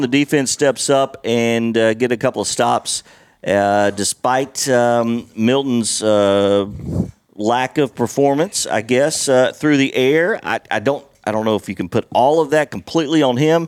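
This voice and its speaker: With an unremarkable speaking voice, a man talks fairly slowly at a medium pitch with ordinary pitch variation, the sound dry and close with no echo. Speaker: lead podcast host. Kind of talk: casual sports chat. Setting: recorded on a porch.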